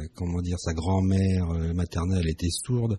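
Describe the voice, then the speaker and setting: A man speaks with a very deep, low pitch and a dark, mellow tone that is somewhat breathy. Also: quiet background. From France, Strasbourg (Alsace). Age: 50s. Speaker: family constellation therapist. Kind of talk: radio interview.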